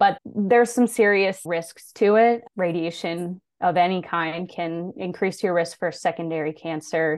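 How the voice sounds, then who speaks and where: A woman with an ordinary speaking voice, fairly low in pitch, at a fairly slow pace with hardly any pauses and ordinary pitch variation. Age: 20s. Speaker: thyroid cancer survivor and advocate. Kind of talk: interview, personal story.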